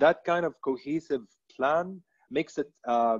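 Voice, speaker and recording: Quiet background, a man's voice, ordinary pitch variation. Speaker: telecom brand communications director; panelist. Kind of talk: webinar panel discussion. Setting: online webinar. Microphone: video call.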